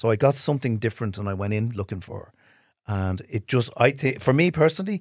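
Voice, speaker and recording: Speaking at a very fast pace, a man with an Irish accent is heard on a very clean recording with a silent background. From Ireland. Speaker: film director. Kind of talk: casual chat.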